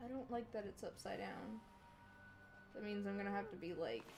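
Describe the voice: With noticeable background noise behind her, a woman with a Southern US accent speaks at a medium pitch and a moderate pace. Her intonation is fairly even, with long, frequent pauses.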